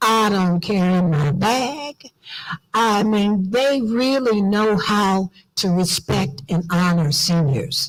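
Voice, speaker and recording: A medium-pitched woman with an American accent, at a very slow pace, with lively intonation and very even loudness. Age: old. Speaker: diaspora organization leader. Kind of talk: conference speech. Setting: auditorium with audience. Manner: animated.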